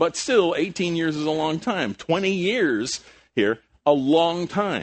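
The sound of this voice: Speaking at a slow pace, a man uses a fairly high pitch and lively intonation.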